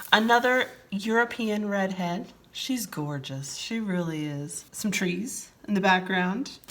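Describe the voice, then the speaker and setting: A woman speaks at medium pitch with lively intonation and an animated tone. Noticeable background noise runs behind her. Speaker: diamond painting hobby youtuber. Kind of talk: casual unboxing chat.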